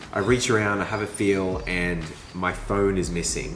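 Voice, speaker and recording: There is noticeable background noise and audible room echo as a man talks with an Australian accent. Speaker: mountain biker vlogger. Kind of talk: vlog narration. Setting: over coffee. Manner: animated.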